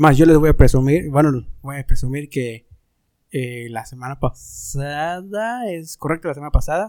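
In a plain, everyday voice, a man talks at a moderate pace with fairly high pitch, lively intonation and big swings in loudness. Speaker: podcast host. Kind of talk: casual chat.

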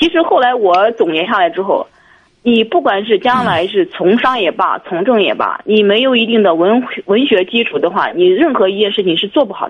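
A woman with an ordinary speaking voice talks at a fairly high pitch with lively intonation. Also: moderate pace. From Jiangsu, China. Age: 30s. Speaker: caller, insurance worker. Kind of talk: phone-in conversation.

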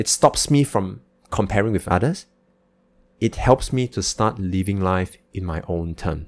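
The speaker uses a normal speaking voice at a fairly slow pace, with ordinary pitch variation. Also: man, fairly low pitch for a man. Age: 30s. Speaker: podcast host, entrepreneur. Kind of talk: solo podcast monologue.

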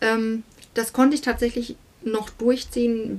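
A woman talks at a very slow pace. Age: 30s. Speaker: singer and estate agent. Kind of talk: interview. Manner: hesitant, many fillers.

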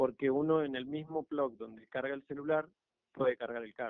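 A man speaks in a plain, everyday voice at a medium pitch. His intonation is fairly even. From Argentina. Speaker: electric car conversion hobbyist. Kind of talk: radio interview.

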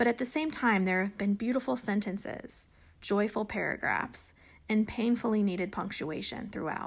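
On a very clean recording with a silent background, a somewhat breathy woman speaks at a fairly high pitch and moderate pace with ordinary pitch variation. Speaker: podcast host. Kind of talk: casual interview.

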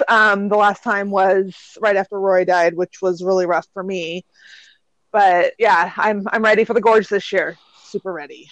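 The woman's delivery is monotone and flat, at a medium pitch and a moderate pace. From Washington State. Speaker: podcast co-host. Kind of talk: casual chat. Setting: phone call.

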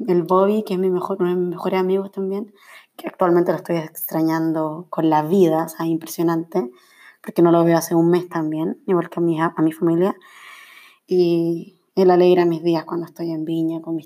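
A woman speaks at a fairly low pitch and fairly quick pace, her tone dark and mellow and her intonation monotone and flat. Her loudness swings widely, on a very clean recording with a silent background. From Chile, Valparaíso region. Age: 20s. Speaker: podcaster and journalist. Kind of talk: casual solo monologue. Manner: laughs often.

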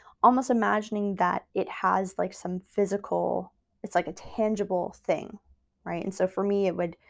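A woman at medium pitch with vocal fry, a moderate pace and fairly even intonation, in a very clean recording with a silent background. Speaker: psychotherapist podcast host. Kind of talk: solo educational monologue. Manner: hesitant, many fillers.

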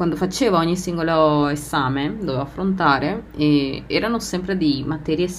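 Audible room echo surrounds a woman whose pitch is very deep and low. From Argentina. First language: Spanish (speaking Italian). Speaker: podcast host. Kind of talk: personal monologue. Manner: laughs often.

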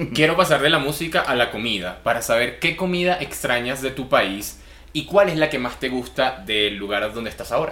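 A man with lively intonation at a moderate pace. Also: medium pitch for a man. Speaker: podcast host. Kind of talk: interview.

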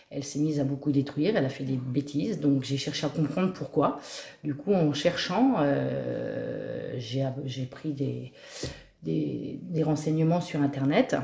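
A woman's very slow speech comes through with noticeable background noise. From Normandy, Cotentin. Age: 40s. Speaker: dog trainer. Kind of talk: interview. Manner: hesitant.

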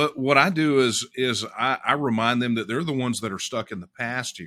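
On a very clean recording with a silent background, a man with an American accent speaks at a moderate pace in a bright, sharp tone. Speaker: political activist leader. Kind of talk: interview.

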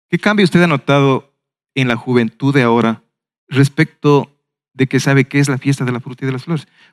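A man with an unremarkable speaking voice talks at a fairly quick pace and fairly high pitch, with ordinary pitch variation. The recording is very clean with a silent background and a dry, close sound with no echo. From Ecuador, Ambato. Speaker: webinar moderator, former festival committee director. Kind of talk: panel discussion.

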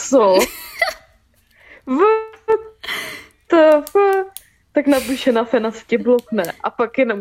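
With faint music in the background, a woman speaks at a fairly high pitch in a slightly mellow tone, using ordinary pitch variation and long, frequent pauses.

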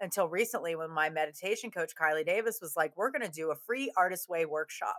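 In a dry, close sound with no echo, a woman with a fairly low pitch speaks at a fairly quick pace in a bright, sharp tone. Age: 30s. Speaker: actor. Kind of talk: casual chat. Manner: animated.

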